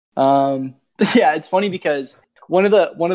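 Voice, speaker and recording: The speaker has a Canadian accent and talks at a very fast pace with ordinary pitch variation. The sound is dry and close, with no echo. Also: man. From Hamilton, Ontario. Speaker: podcast host. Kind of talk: casual podcast chat.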